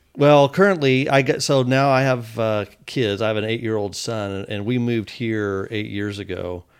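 With hardly any pauses, a man in an unremarkable speaking voice talks at a moderate pace with ordinary pitch variation on a very clean recording with a silent background. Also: medium pitch for a man. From Texas, Fort Worth. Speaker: hospital executive. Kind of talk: casual interview chat.

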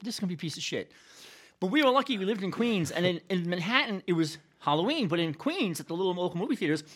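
The speaker talks at a very fast pace with a New York accent. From New York City, South Bronx. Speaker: history professor. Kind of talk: casual chat.

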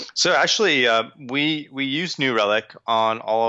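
A man in a New York accent speaks at a medium pitch. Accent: New York American. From New York, Long Island. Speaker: tech company sales engineer. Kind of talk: interview. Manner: halting, many fillers.

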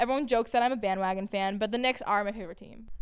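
A woman with an American accent talks at a very fast pace and a fairly high pitch with ordinary pitch variation, on a very clean recording with a silent background. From Massachusetts, Peabody. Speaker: sports media personality and college student. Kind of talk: casual monologue podcast. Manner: animated, chatty with many fillers.

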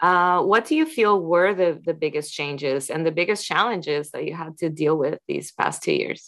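An ordinary speaking voice with ordinary pitch variation, against a quiet background. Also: woman, fairly low pitch for a woman, moderate pace. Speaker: podcast host. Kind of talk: interview.

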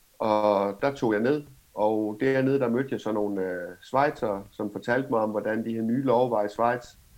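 A man with an ordinary speaking voice talks at medium pitch and a fairly slow pace. His intonation is fairly even. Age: 30s. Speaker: cannabis entrepreneur. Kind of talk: interview.

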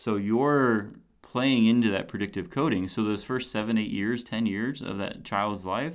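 A man's fairly low voice at a moderate pace, an ordinary speaking voice with ordinary pitch variation. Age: 40s. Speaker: podcast host and youth mentor. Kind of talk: solo podcast monologue. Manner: casual, with frequent fillers.

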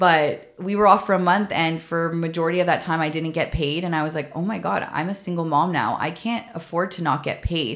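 A woman with a Canadian accent and an unremarkable speaking voice talks at a fairly quick pace and fairly low pitch, with ordinary pitch variation and hardly any pauses. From Canada, Toronto. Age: 30s. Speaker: podcast host, former mental health nurse. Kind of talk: personal storytelling monologue.

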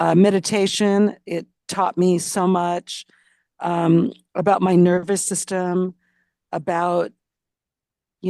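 Monotone, flat delivery with an American accent at a very slow pace, in a dry, close sound with no echo against a quiet background. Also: woman. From US West Coast. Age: 60s. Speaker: memoir author and insurance agency owner. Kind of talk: casual interview.

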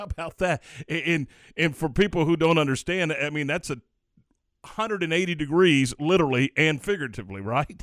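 A man's plain, everyday voice, fairly high in pitch with ordinary pitch variation, at a moderate pace in a very clean recording with a silent background and a dry, close sound with no echo. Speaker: radio sports host. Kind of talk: radio DJ patter, upbeat morning-show banter. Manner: easygoing, chatty, stumbling over repeated words.

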